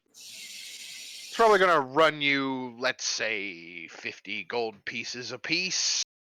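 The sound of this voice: A man does a put-on character voice, gravelly and at a medium pitch. He talks at a very slow pace.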